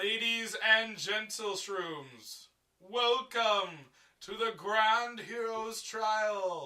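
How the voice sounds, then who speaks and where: Words come out at a very slow pace. It is a put-on character voice. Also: man, high pitch for a man. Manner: loud, showy announcement.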